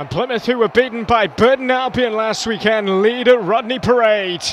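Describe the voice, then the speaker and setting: A man speaks at a moderate pace in an extremely high pitch, with an animated tone and ordinary pitch variation. Noticeable background noise runs underneath. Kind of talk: live match commentary. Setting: football stadium match broadcast. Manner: animated, excitable, rising pitch on goals.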